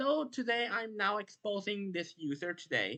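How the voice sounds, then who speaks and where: Spoken at a fairly slow pace with a non-native accent, the voice has a bright, sharp tone and lively intonation. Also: woman. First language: not English. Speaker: YouTuber, logo-effects community commentator. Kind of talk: commentary monologue, callout video. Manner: halting, many restarts.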